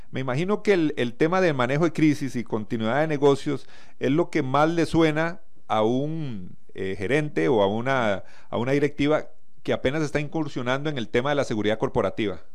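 A man's fairly high voice with lively intonation at a fairly quick pace, plus audible room echo. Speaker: radio host. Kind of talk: interview.

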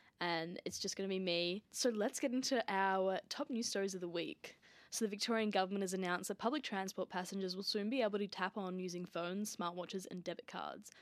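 In an Australian accent, a woman talks at a fairly quick pace with a medium pitch, recorded very cleanly against a silent background with a dry, close sound and no echo. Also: ordinary pitch variation, hardly any pauses. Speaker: student podcast host. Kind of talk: news reading. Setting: studio. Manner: steady, clear, formal newsreader delivery; brisk, even-paced, mostly neutral and scripted.

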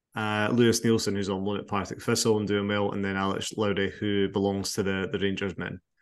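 The speech has an Edinburgh accent and a moderate pace. Intonation is monotone and flat. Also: man. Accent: Scottish (Edinburgh). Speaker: football podcast host. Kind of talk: casual chat.

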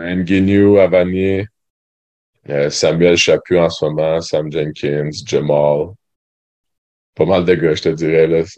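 A dark, mellow tone in a Quebec accent, with a very slow pace, long, frequent pauses and monotone, flat intonation. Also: man, very deep, low pitch for a man. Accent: Québécois French. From Quebec, Sherbrooke. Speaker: university basketball player. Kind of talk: interview. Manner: hesitant, many fillers.

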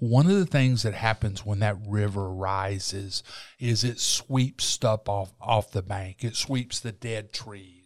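Fairly low male voice in a Southern US accent at a moderate pace, with fairly even intonation. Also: very clean recording, silent background. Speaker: talk show host and journalist. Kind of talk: casual interview.

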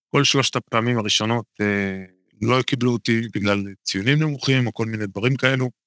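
A man with a medium-pitched, bright, sharp tone talks at a fairly quick pace with ordinary pitch variation, the sound dry and close with no echo. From Israel, Haifa bay area (Kiryat Bialik). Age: 40s. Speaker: physiotherapist. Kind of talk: interview, casual conversation.

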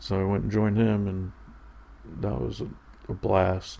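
A man's somewhat breathy voice with a dark, mellow tone, at a moderate pace. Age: 30s. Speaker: podcast host. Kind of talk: casual solo monologue. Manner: halting.

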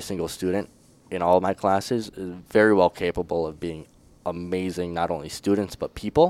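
A man with an Upper Midwest accent speaks at a fairly quick pace. His pitch is very deep and low, and the sound is dry and close with no echo. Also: big swings in loudness, very clean recording, silent background. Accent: Upper Midwest (Minnesota). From northern Minnesota. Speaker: student teacher. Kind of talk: casual interview.

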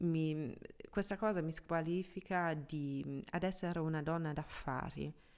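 Speaking at a fairly slow pace, a woman with a German accent uses fairly even intonation at a fairly low pitch. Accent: German accent in Italian. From Germany. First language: German (speaking Italian). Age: 30s. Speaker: app founder and podcast host. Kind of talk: solo podcast monologue. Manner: hesitant, with fillers.

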